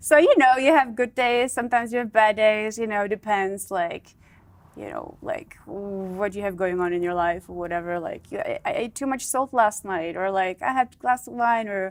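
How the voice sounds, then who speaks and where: A woman talks in a Czech accent. Her pitch is fairly high and her pace moderate. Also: ordinary pitch variation. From Czech Republic. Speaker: model and former playmate. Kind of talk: interview. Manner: halting.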